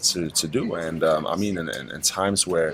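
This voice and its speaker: A man with a German accent at a moderate pace, over noticeable background noise. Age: 30s. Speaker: digital nomad entrepreneur. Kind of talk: interview. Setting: on a boat. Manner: halting, many fillers and repetitions.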